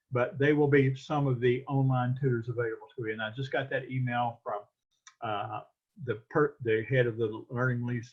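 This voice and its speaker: A man talks at a fairly quick pace with fairly even intonation. His voice is somewhat breathy. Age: 60s. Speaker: college professor. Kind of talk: lecture. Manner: halting.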